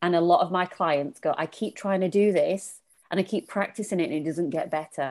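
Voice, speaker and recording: Someone with a Lancashire accent talks at a fairly quick pace with ordinary pitch variation. The background is quiet. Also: woman, fairly low pitch for a woman. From Lancashire, northern England. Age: 40s. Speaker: feminine leadership coach. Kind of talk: casual chat.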